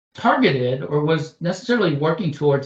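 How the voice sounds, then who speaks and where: A man with a fairly high voice talks at a fairly quick clip. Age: 60s. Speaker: association chief executive. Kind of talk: interview. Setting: podcast. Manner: halting, many fillers and restarts.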